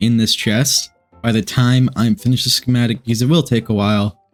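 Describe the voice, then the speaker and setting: With music playing in the background, the speech moves at a moderate pace with fairly even intonation. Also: man, very even loudness. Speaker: Minecraft builder. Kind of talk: casual gameplay commentary.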